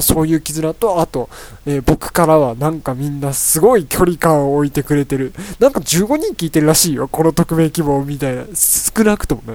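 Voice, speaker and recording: Moderate-paced male speech in an unremarkable speaking voice, its pitch varying in an ordinary way. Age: 20s. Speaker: solo podcast host, university student. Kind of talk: casual solo talk. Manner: rambling, filler-heavy.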